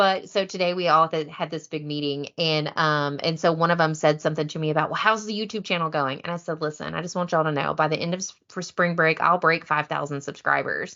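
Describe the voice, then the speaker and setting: A woman with a very deep, low pitch talks at a very fast pace with hardly any pauses. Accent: American. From US South, deep east Texas. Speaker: competitive kayak bass angler. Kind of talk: casual chat. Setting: podcast interview. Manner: animated.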